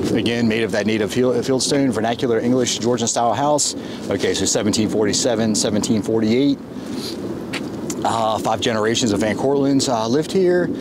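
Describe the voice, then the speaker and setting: Over loud background noise, a man speaks with ordinary pitch variation in a dry sound with no echo. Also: moderate pace. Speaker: travel vlogger. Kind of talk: casual vlog commentary. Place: open country. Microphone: phone near.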